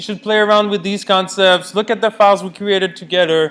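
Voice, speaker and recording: A man shouting, loud and high in pitch, over noticeable background noise. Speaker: university lecturer (grad student). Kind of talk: lecture. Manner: loud, yelling.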